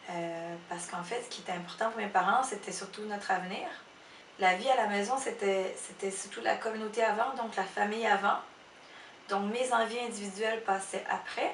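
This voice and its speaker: Noticeable background noise and audible room echo surround a woman at a medium pitch. She speaks with a Cambodian accent and fairly even intonation. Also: moderate pace. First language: Khmer (speaking French). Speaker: illustrator and photo editor. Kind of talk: interview testimony. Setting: her office. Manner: halting, many hesitations.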